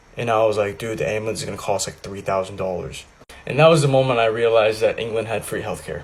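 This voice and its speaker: The speech comes at a very fast pace, with ordinary pitch variation and big swings in loudness. Noticeable background noise runs underneath. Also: man, medium pitch for a man. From US Midwest, southern Indiana. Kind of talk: storytelling. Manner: casual.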